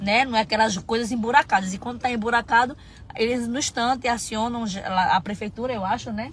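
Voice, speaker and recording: A woman with an unremarkable speaking voice talks at a fairly quick pace in a fairly high pitch. Her intonation is fairly even, the sound is dry with no echo, and light background noise is present. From Brazil. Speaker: vlogger. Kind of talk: casual chat. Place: car. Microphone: phone near.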